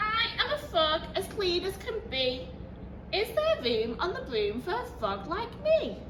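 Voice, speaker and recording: Against loud background noise, a croaky, put-on character voice speaks at a fairly slow pace. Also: woman. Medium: read story.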